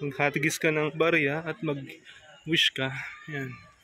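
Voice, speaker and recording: A man talks quietly in a monotone, flat intonation. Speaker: moto vlogger. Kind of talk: travel vlog narration. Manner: speaking quietly.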